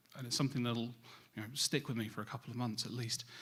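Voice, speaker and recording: Here a man speaks with a British accent. His tone is bright and sharp, his pitch medium. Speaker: cybersecurity industry speaker. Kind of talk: conference presentation.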